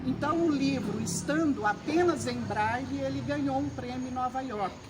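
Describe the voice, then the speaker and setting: A woman with a fairly high pitch talks at a moderate pace with very wide pitch swings, amid noticeable background noise and audible room echo. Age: 70s. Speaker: retired educator and author, library volunteer. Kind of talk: interview.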